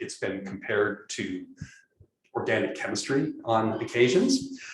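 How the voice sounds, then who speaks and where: Speaking with an American accent, a man is heard amid audible room echo. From California. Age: 60s. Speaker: professor. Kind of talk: lecture. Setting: classroom. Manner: halting, many fillers and repeated words.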